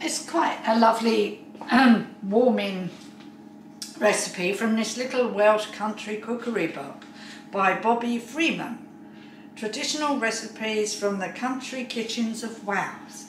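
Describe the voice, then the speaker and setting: A woman's fairly high voice at a fairly slow pace, with ordinary pitch variation, audible room echo and light background noise. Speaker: home cook. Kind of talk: casual cooking video talk to camera. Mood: chatty, mildly puzzled. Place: kitchen. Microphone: camera far.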